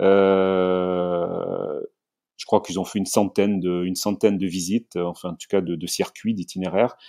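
A man speaks at a fairly low pitch in a dark, mellow tone, with big swings in loudness. The sound is dry and close with no echo, and the background is quiet. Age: 50s. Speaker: tourism entrepreneur. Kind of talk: interview. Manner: halting, many fillers.

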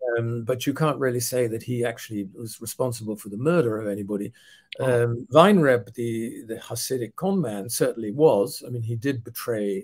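A man talks at a fairly quick pace with ordinary pitch variation. His voice is somewhat breathy and swings widely in loudness. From Netherlands. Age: 70s. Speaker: author and historian. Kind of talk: interview. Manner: halting. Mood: calm, thoughtful. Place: home room.

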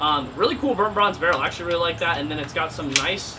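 A man with a high voice talks over noticeable background noise, his pitch varying in an ordinary way. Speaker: airsoft youtuber. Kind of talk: casual vlog chat. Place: garage.

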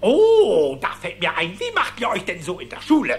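A cartoonish character voice swings very widely in pitch. Faint music plays in the background. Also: man, high pitch for a man, moderate pace.

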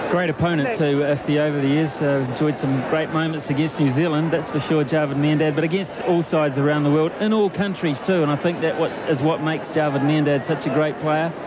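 Over noticeable background noise, a man speaks in a calm tone with very even loudness and fairly even intonation. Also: fairly high pitch for a man, hardly any pauses. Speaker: cricket commentator. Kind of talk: live cricket commentary. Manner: calm, fluent, descriptive.

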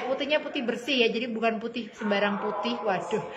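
A woman talks at a very fast pace in a high voice. Noticeable background noise runs underneath. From Indonesia. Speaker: online clothing seller. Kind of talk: live-stream sales pitch rattling off product codes, sizes and prices to viewers. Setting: live stream. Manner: chummy and gushing, constantly calling viewers dear and mom. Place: shop. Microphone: phone near.

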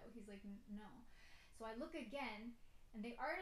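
Speaking at a very fast pace with ordinary pitch variation, a woman is heard over light background noise and audible room echo. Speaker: YouTuber. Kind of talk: casual story time, told in a spooky first-person ghost story. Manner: animated, conversational, tense and uneasy, with self-conscious laughs. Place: home room. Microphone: phone near.

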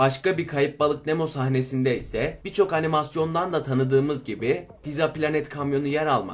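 A man talks at a moderate pace in a fairly high voice with ordinary pitch variation, faint music playing in the background.

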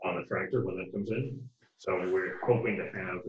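Light background noise runs under the recording. There is audible room echo as well. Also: man. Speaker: town administrator giving report. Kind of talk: meeting report. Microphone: video call.

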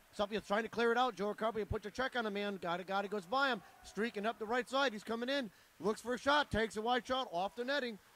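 A man talks at a very fast pace in an animated tone, his high pitch moving with ordinary variation in a dry recording with no echo. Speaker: sports commentator. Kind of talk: live commentary. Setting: arena. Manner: fast, steady play-by-play delivery; animated, rising on goals. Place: stadium.

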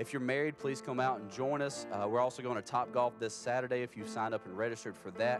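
With clear music behind him, a man races along at a very fast pace with hardly any pauses. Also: fairly even intonation, dry sound with no echo. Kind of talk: church announcements. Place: church.

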